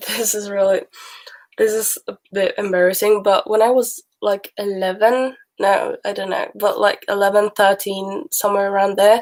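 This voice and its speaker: A woman speaks at medium pitch and a moderate pace. Her intonation stays monotone and flat. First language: Swedish. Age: young, about 19. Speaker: livestreamer. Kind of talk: casual livestream chat. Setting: live stream. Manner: chatty, informal with fillers.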